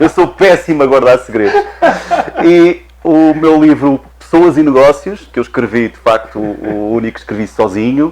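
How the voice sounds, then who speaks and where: A man speaks at a moderate pace in a fairly high voice, his intonation lively and his loudness swinging widely. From Portugal. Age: 50s. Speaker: HR director and guest. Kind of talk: TV interview.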